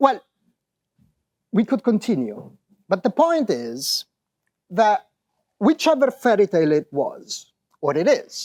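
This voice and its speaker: With an Italian accent, a man speaks at a high pitch and a fairly slow pace, his pitch swinging very widely. He leaves long, frequent pauses, and the sound is dry and close with no echo. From Italy. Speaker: professor. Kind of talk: conference talk. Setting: stage with audience.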